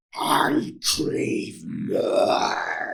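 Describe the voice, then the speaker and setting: A man uses a put-on character voice, raspy and extremely high-pitched, with a menacing tone. An audible echo surrounds it. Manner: menacing, growling.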